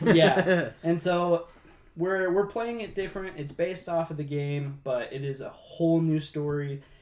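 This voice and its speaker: The speaker talks at a fairly slow pace with ordinary pitch variation. Noticeable background noise runs underneath. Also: man, high pitch for a man. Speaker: podcast host and game master. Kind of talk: casual chat. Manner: halting.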